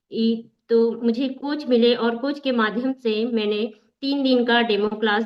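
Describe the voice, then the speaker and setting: Her pitch sits fairly high. This woman talks in a flat, monotone way. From Bastar, Chhattisgarh, India. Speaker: workout leader and member. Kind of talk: testimony.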